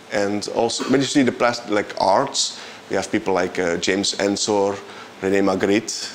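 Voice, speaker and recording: A man with a Flemish Belgian accent at a moderate pace, over noticeable background noise. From Belgium (Flanders). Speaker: composer and bandleader. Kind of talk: interview. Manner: halting, frequent repetitions.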